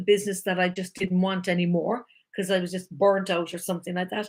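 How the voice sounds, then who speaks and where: A woman at medium pitch with an Irish accent. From Ireland. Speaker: life coach. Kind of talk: live-stream talk. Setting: live video stream. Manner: animated.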